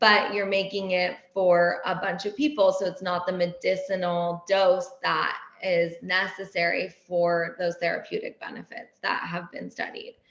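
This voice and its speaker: With a Californian accent, a woman speaks at a medium pitch and with fairly even intonation. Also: fairly slow pace, hardly any pauses. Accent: Californian American. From US West Coast, Laguna, California. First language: Persian. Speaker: wellness entrepreneur and editor. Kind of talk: podcast interview.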